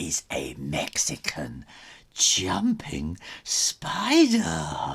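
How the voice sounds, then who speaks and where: This is a put-on character voice from a man. The delivery is very slow. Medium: read story. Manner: softly gleeful.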